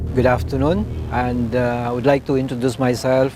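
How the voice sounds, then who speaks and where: Noticeable background noise behind a man speaking at medium pitch. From Philippines, Negros Occidental. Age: 50s. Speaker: martial arts master. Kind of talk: documentary interview. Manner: halting.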